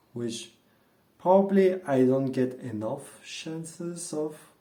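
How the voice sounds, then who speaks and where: A man's fairly high voice at a very slow pace, with ordinary pitch variation and audible room echo. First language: not English (native language other). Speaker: vlogger. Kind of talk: casual monologue vlog. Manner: hesitant with fillers. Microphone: earphones mic, worse audio.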